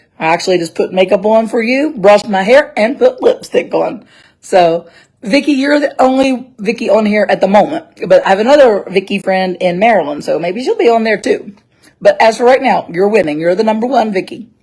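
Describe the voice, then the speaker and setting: A woman with an American accent, somewhat breathy, with lively intonation and a fairly quick pace. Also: fairly high pitch for a woman. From West Virginia. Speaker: travel blogger. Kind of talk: casual live-stream chat. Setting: indoors at dad's house, live video. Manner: chatty.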